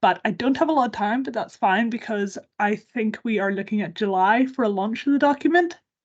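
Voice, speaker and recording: A woman speaks in a Northern Irish accent at a fairly high pitch with lively intonation. Her pace is fairly quick, with hardly any pauses. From Northern Ireland. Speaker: campaign organisation worker. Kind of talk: webinar presentation. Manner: fast.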